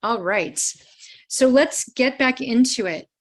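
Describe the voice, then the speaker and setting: In an American accent, a woman speaks at a fairly slow pace with a fairly high pitch, lively intonation and a plain, everyday voice. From US Midwest, Cleveland, Ohio. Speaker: trauma care trainer. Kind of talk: live online training presentation.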